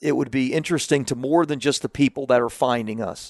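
This man has an ordinary speaking voice with an American accent, pitched in the medium range with ordinary variation. He talks at a moderate pace in a dry, close sound with no echo. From US South, Central Florida. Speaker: marketing expert and publisher. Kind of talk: interview conversation.

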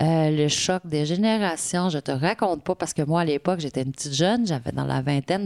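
The voice moves at a fairly quick pace with ordinary pitch variation, in a very clean recording with a silent background and a dry, close sound with no echo. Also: woman. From Quebec, Côte-Nord. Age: 50s. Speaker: municipal director. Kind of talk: interview.

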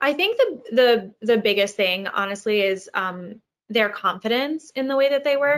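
At a moderate pace, a woman with an American accent speaks at a fairly high pitch and with lively intonation. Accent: Long Island accent reduced by training. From US, Long Island. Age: young. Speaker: actress. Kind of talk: interview. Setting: video call from home.

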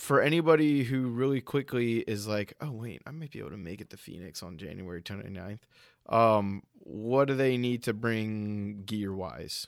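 This is an ordinary speaking voice with lively intonation at a moderate pace. The recording is very clean, with a silent background. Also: man. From US Northeast, Rhode Island. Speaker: podcast host. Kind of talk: casual chat.

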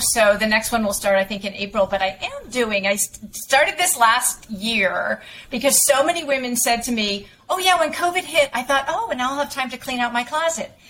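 Against noticeable background noise, a woman talks in a high, lively voice at a moderate pace with hardly any pauses. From western Massachusetts, Springfield area. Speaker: image consultant. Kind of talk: interview.

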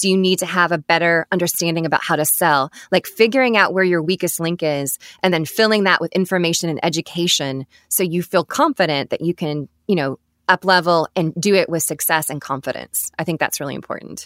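An enthusiastic woman talks at a fairly quick pace with a fairly low pitch and ordinary pitch variation. The recording is very clean with a silent background and a dry, close sound with no echo. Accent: American. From Alabama, US South. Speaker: photographer and studio owner. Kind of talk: casual interview chat. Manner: polished, enthusiastic.

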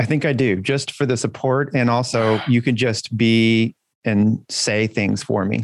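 At a fairly slow pace, a man with a medium pitch and fairly even intonation speaks in a plain, everyday voice. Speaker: podcast host. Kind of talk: casual banter podcast chat.

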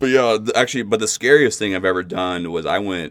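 The speaker is a man with an American accent. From US Pacific Northwest, Kirkland, Washington. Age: 30s. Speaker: returning podcast guest. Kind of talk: casual chat. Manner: halting, many fillers and restarts.

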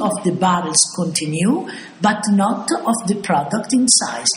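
With noticeable background noise behind her, a woman speaks in an Italian accent with very wide pitch swings. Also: very even loudness. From Italy, Bologna. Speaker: balsamic vinegar producer. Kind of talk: interview.

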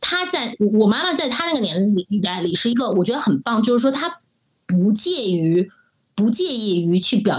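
A woman speaks with a medium pitch. Her pitch swings very widely. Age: 40s. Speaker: marketing director. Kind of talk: interview conversation.

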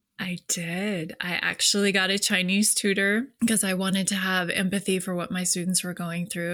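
Her tone bright and sharp, a woman speaks at a medium pitch and moderate pace with monotone, flat intonation. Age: 40s. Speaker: leadership coach. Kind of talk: casual chat.

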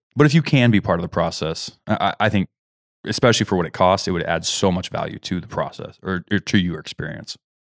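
This voice has an American accent and talks very fast with ordinary pitch variation. The sound is dry and close, with no echo. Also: man, fairly low pitch for a man. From Kansas, US Midwest. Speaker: hunting podcast host. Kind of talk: casual chat. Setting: studio. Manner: hesitant, many fillers.

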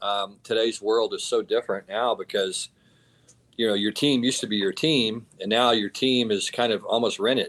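A man with a Texan accent talks at a moderate pace. The recording is very clean, with a silent background. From Texas. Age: 50s. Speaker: college football head coach. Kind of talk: casual interview.

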